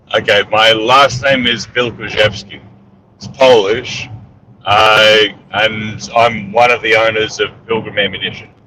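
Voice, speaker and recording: A man with an Australian accent, fairly low in pitch, at a fairly slow pace with fairly even intonation. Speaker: entrepreneur and military veteran. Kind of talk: casual interview. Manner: hesitant, many fillers.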